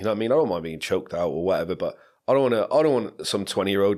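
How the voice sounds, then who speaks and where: The speech moves at a very fast pace in a very clean recording with a silent background. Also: man. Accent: English. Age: 30s. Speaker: podcast co-host. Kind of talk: casual chat.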